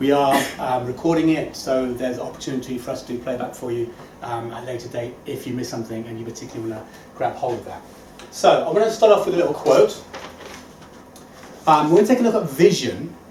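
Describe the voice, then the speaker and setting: A man's medium-pitched, very fast speech with lively intonation and big swings in loudness, amid audible room echo and noticeable background noise. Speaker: motivational speaker. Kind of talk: inspirational talk. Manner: animated.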